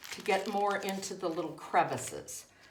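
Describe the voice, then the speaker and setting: A woman at medium pitch is heard with audible room echo and noticeable background noise. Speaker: foot care nurse. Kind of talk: tutorial. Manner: deliberately slowed down.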